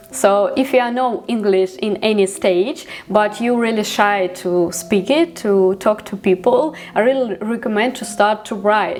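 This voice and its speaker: A woman speaks at a fairly slow pace with hardly any pauses and ordinary pitch variation. Noticeable background noise runs underneath. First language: Ukrainian. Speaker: vlogger. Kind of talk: vlog monologue. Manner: halting, many fillers.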